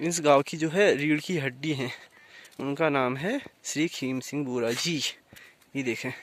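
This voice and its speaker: A man talks with long, frequent pauses. His fairly high voice shows ordinary pitch variation. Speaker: village vlogger. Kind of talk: casual vlog narration. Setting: outdoors in village. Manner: hesitant with fillers.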